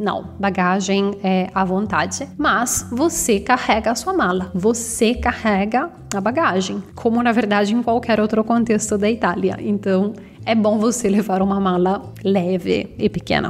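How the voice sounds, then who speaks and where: Over background music, a woman with an Italian accent speaks at a fairly slow pace and medium pitch, with ordinary pitch variation, very even loudness and hardly any pauses. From northern Italy, Bergamo. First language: Italian (speaking Portuguese). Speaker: Italian language teacher. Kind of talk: tutorial.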